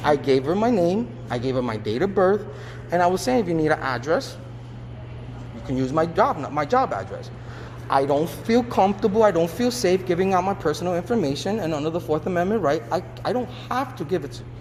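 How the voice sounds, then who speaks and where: The voice is loud and swings very widely in pitch against noticeable background noise. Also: man, fairly high pitch for a man. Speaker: civilian filing police complaint. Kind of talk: complaint conversation.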